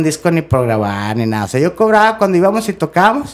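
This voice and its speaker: Lively in intonation, a man talks at a moderate pace with a fairly high pitch. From Monterrey, northern Mexico; Mexico. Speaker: rock drummer; podcast guest. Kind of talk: casual chat. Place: studio. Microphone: studio mic.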